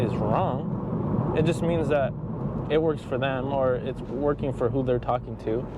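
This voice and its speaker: A man speaks with fairly even intonation. There is noticeable background noise and audible room echo. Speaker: fitness vlogger. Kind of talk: casual vlog monologue. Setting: in a car. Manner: loud; hesitant, many fillers.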